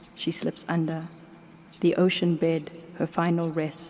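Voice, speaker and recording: A woman talks at a fairly low pitch while noticeable background noise comes through. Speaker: poet. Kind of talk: poetry reading.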